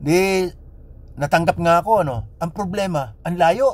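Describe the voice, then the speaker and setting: A man talks with a fairly high, somewhat breathy voice and lively intonation. The sound is dry with no echo. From Philippines. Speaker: vlogger. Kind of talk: personal storytelling monologue. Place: car. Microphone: phone near.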